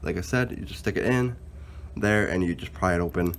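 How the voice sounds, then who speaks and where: A man talks at a fairly quick pace with vocal fry. His intonation is lively. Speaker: car DIY hobbyist. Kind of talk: casual DIY tutorial talk to camera.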